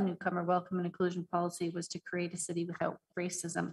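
Against a quiet background, a woman with a fairly low, somewhat breathy voice speaks at a very fast pace. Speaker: city department director; presenter. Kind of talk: report presentation. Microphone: video call.

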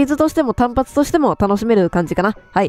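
A woman talks fairly quickly at a high pitch, swinging very widely up and down. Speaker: game streamer. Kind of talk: horror game commentary with story reading.

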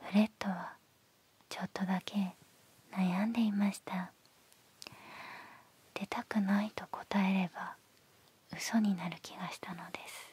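A soft-spoken woman talks in a monotone, flat intonation with long, frequent pauses. The sound is dry with no echo. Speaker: ASMR storyteller. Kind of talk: bedtime story reading. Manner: very soft, slow bedtime storytelling voice. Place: home room. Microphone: handheld.

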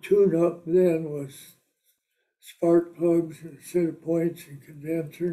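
With a Midwestern American accent, a high-pitched man speaks very slowly in a dark, mellow tone, his intonation monotone and flat and his loudness swinging widely. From Britt, Iowa. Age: 80s+. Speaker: war veteran and auto business owner. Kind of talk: interview answer. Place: home room. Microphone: camera far.

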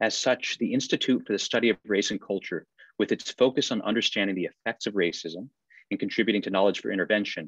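A man's fairly low voice at a very fast pace, fairly even in intonation, dry with no echo, against a quiet background. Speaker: associate dean hosting event. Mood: warm, welcoming. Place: office. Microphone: video call.

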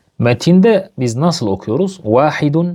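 A man with a dark, mellow tone and lively intonation at a fairly slow pace, against a quiet background. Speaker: Arabic language teacher. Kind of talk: lesson. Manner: slow, repetitive.

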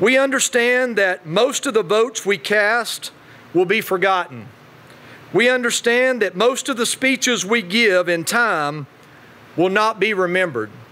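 A man speaks in a raised, projected voice with an Appalachian accent at a fairly slow pace. His high pitch shows ordinary variation, and his loudness stays very even. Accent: Southern US, Appalachian. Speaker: state politician. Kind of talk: keynote speech. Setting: podium before live audience.

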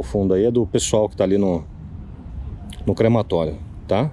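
A man's fairly low voice has a dark, mellow tone and ordinary pitch variation, at a moderate pace, with a dry sound with no echo and light background noise. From São Paulo, Brazil (Zona Leste); São Paulo, Brazil. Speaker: paranormal investigator youtuber. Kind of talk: paranormal investigation vlog. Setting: outdoors near a crematorium. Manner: animated. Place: forest. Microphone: phone near.

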